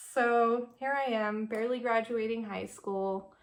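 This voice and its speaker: Speaking with an American accent, a woman keeps a fairly slow pace. Her intonation stays fairly even. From California. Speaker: beauty vlogger. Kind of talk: casual chat. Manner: casual, filler-heavy with many ums.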